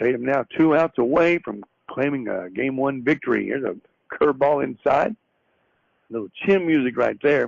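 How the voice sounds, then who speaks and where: At a moderate pace, a man with a Southern US accent talks with ordinary pitch variation. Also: medium pitch for a man. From US South. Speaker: radio sports play-by-play announcer. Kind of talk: live commentary. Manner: conversational, folksy.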